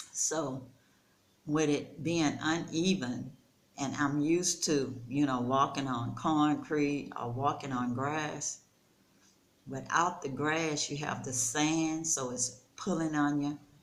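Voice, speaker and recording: A woman's very deep, low voice in a relaxed tone, very slow, with fairly even intonation and audible room echo. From United States. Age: 60s. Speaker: storyteller vlogger. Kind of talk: casual vlog monologue. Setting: rental house. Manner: conversational, relaxed.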